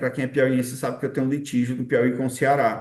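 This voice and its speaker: The background is quiet. A man speaks at a medium pitch. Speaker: exam-prep teacher. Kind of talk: online lecture. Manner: fast.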